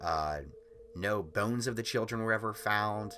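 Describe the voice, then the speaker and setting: A man speaks at a fairly slow pace with lively intonation and a fairly low pitch. Music plays in the background. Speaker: YouTuber. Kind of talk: casual storytelling. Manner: casual with fillers.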